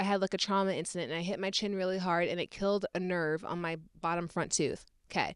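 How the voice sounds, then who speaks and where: Over a silent background in a very clean recording, a woman talks at a very fast pace in a monotone, flat intonation. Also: medium pitch for a woman. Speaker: podcast co-host. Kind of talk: casual chat. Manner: stuttering.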